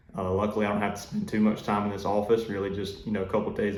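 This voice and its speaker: Southern US accent with audible room echo and noticeable background noise. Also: man. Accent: Southern US (Georgia). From US South, South Georgia. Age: 20s. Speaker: duck hunting YouTuber and waterfowl consultant. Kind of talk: casual self-introduction vlog. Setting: office. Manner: hesitant, many fillers.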